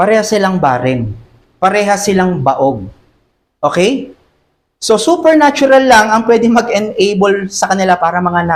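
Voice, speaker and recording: Speaking at a moderate pace with very even loudness, a man uses a high pitch with very wide pitch swings. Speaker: pastor. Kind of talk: sermon. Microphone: voice too quiet on mic.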